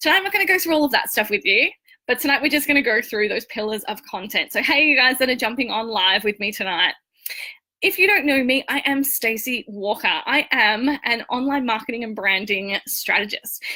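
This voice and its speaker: Her pitch sits high and swings very widely. This woman with an Australian accent talks at a fairly quick pace. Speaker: online marketing and branding coach. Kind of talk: live-stream training talk. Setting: live video stream. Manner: casual, chatty.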